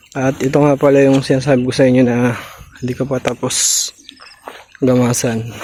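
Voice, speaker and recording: Over noticeable background noise, a man with a medium-pitched voice talks at a fairly quick pace in a monotone, flat delivery broken by long, frequent pauses. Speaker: farmer and vlogger. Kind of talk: casual vlog narration.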